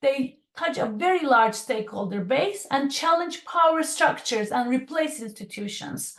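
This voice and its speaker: A woman's high voice at a moderate pace, with very wide pitch swings and hardly any pauses. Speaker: design consultant and speaker. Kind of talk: online presentation. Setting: video call. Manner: hesitant with fillers and repeats.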